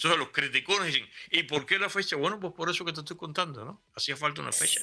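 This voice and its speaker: A man speaks very fast in a high pitch, his tone bright and sharp, with ordinary pitch variation. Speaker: historian guest. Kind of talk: casual interview.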